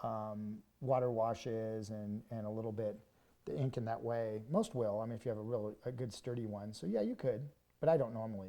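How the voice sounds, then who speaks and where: A man with a medium-pitched, dark and mellow voice talks at a fairly quick pace with fairly even intonation. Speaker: art instructor. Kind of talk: live stream drawing demo. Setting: studio. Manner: fast; casual.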